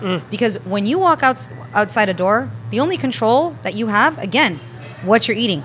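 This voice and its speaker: Over music in the background, a woman with medium pitch speaks at a moderate pace with very wide pitch swings. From Spain and Southern California. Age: 30s. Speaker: plant-based chef. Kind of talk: casual interview. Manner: animated.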